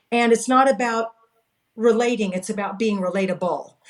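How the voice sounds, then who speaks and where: With a Californian accent, a woman speaks at a moderate pace in a fairly high pitch with ordinary pitch variation. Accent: General American (Californian). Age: 60s. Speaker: direct sales coach. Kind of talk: interview.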